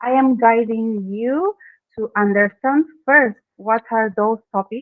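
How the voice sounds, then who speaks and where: A woman's fairly high voice in an Argentine accent at a very slow pace. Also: ordinary pitch variation. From Argentina. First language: Spanish. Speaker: branding expert. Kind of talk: interview. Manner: halting, non-native phrasing.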